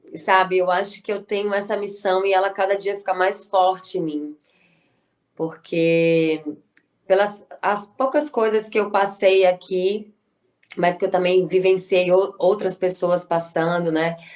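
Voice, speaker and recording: A woman's medium-pitched voice moves very slowly, her intonation fairly even. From Brazil, Bahia (Salvador). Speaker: actress and writer. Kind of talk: interview.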